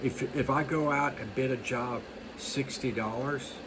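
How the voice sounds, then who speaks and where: Through noticeable background noise, a man with an American accent speaks with fairly even intonation. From US East Coast. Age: 60s. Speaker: lawn care business owner. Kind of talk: monologue tutorial. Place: home room. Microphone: phone near.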